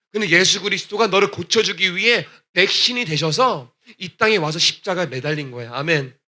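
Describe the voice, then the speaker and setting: A man's high voice sounds bright and sharp, carried by lively intonation. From Texas, US (Korean immigrant church). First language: English (speaking Korean). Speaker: gospel singer. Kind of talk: testimony. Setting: church.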